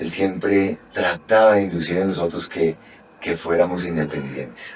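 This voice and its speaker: Speaking in a Paisa accent, a man has a very deep, low pitch with ordinary pitch variation and a fairly slow pace. Noticeable background noise sits behind him. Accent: Paisa (Medellín) Colombian Spanish, acquired. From Colombia, Bogotá. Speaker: dentist and lecturer. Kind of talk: podcast interview.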